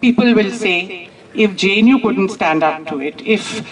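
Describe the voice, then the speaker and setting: A woman's voice with ordinary pitch variation, amid noticeable background noise. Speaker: professor addressing protest gathering. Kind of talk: public speech. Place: street. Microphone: handheld.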